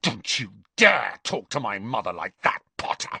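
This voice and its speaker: Putting on a growling character voice, a man speaks at a moderate pace in a medium pitch. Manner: snarling, angry.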